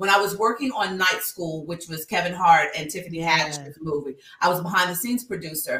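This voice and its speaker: Over noticeable background noise, a woman with a fairly low pitch speaks at a fairly quick pace in an animated tone, her pitch varying in an ordinary way. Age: 50s. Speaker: speaker and nonprofit founder. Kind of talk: casual interview. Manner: loud.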